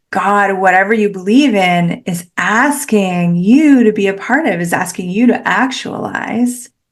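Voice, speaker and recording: In a Canadian accent, a woman talks at a fairly slow pace and medium pitch. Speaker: podcast host. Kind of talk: solo podcast monologue. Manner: animated.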